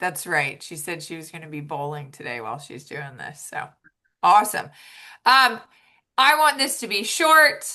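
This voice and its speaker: Against a quiet background, a woman speaks with a fairly high pitch and very wide pitch swings. Her tone is bright and sharp, with vocal fry. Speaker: triathlon and swim coach. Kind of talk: informational meeting presentation. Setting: video call. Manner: loud; casual, upbeat.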